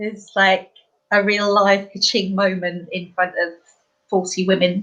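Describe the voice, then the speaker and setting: Speaking with an East Anglian accent, a woman uses a medium pitch and a monotone, flat intonation at a fairly slow pace. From East Anglia, England. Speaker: life coach. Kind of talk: casual chat.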